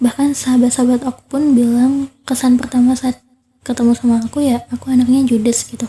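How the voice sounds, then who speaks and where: A soft-spoken woman with a high pitch talks in a monotone, flat intonation with a dark, mellow tone. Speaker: podcast host. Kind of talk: casual monologue.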